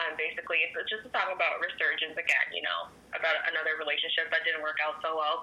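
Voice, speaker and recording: A woman with a Canadian accent speaks at a fairly low pitch with fairly even intonation over noticeable background noise. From Ottawa, Canada. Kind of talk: radio interview.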